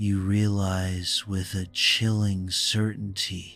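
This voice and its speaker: Over faint music in the background, a man speaks very slowly in a fairly low, soothing voice with monotone, flat intonation. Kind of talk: bedtime story. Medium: read story. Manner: slow, measured, soothing.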